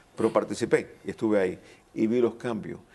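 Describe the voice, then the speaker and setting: At a moderate pace, the speech comes in a dark, mellow tone. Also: man. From Cuba, raised in Miami. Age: 60s. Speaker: panel guest, Cuban exile community member. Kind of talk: panel discussion. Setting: college auditorium.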